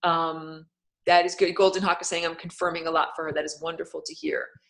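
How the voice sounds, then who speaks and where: A woman speaks at a fairly low pitch. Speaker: spiritual teacher. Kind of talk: live-streamed lecture with chat questions. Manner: fast; casual, filler-heavy.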